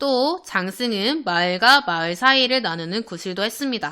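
A woman with a bright, sharp tone talks at a fairly slow pace, her pitch swinging very widely. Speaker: elementary school teacher. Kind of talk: online lesson for children. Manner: animated.

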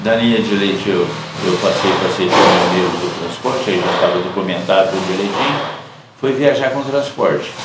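A man speaks at a moderate pace. Loud background noise and audible room echo fill the recording. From Brazil, São Paulo state, raised in rural Minas Gerais. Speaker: retired truck driver. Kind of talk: interview. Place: home room.

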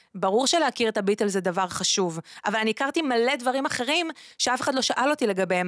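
A woman's lively intonation at a fairly quick pace, in a dry sound with no echo and a quiet background. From Israel, Ashdod; Israel. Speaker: singer and former radio host; former radio host. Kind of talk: interview conversation. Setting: studio. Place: studio. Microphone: studio mic.

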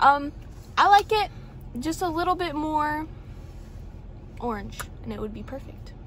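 High-pitched woman's voice at a moderate pace with big swings in loudness, a dry sound with no echo, and light background noise. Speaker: co-host of coffee review vlog. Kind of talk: casual vlog chat. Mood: relaxed, slightly distracted. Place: car. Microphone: phone near.

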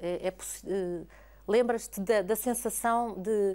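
A woman speaks fairly slowly at a medium pitch. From Portugal. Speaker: TV interviewer. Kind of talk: interview. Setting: opera house. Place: hall. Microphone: lapel.

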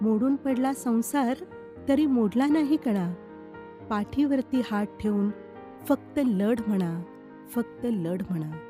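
With music playing in the background, a woman speaks at a fairly high pitch with lively intonation. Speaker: anchor and voice-over artist. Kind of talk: poetry reading.

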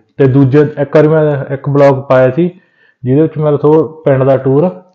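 At a fast pace, a man speaks with a medium pitch.

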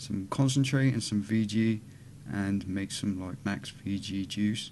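A man speaks with a British accent at a fairly low pitch. His pace is fairly slow, with light background noise. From UK. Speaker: vape YouTuber. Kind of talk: casual vlog. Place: home room. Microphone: webcam.

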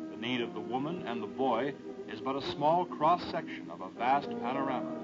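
With clear music playing in the background, a man speaks at a fairly slow pace. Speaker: film narrator. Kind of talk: documentary narration. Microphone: old recording.

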